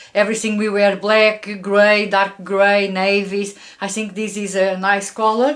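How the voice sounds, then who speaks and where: A woman speaks at a fairly high pitch in a Portuguese accent. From Portugal. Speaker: fashion YouTuber. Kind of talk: product review. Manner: frequent filler hesitations.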